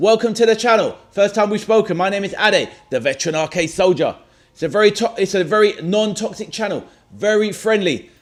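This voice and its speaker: With a London accent, a man talks at a moderate pace in a high pitch with ordinary pitch variation. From London, England (Stoke Newington). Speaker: football watchalong streamer. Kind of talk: live stream chat and match reaction. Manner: casual, energetic.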